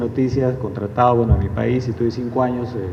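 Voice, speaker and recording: A man with a Lima accent talks at a fairly quick pace, his pitch medium. The room echo is audible and background noise is noticeable. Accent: Lima Peruvian Spanish. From Peru, Lima. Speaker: journalist and newspaper editor. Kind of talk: public talk. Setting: live event with audience.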